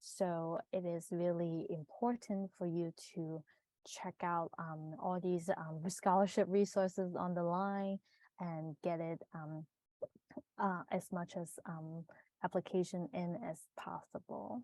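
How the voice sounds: A woman's fairly low, dark and mellow voice, slow and fairly even in intonation, dry and close with no echo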